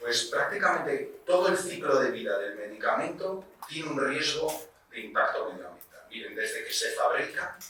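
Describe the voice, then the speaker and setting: There is noticeable background noise and audible room echo. A man with a Spanish accent speaks at a moderate pace. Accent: Spain Spanish. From Spain, Basque Country (Vitoria-Gasteiz). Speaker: pharmacist and researcher, lecturer. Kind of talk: lecture. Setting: lecture hall with audience. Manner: conversational, addresses audience directly.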